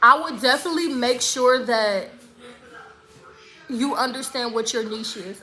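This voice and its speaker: Projecting her high voice with big swings in loudness, a woman takes long, frequent pauses amid audible room echo and noticeable background noise. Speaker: spa business coach and YouTuber. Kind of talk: livestream Q&A with viewers. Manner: fast, casual, with some stumbling.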